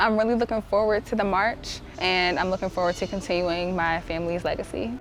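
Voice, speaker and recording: Over noticeable background noise, a woman talks at a fairly quick pace and medium pitch, with fairly even intonation and very even loudness. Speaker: activist's granddaughter. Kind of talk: interview.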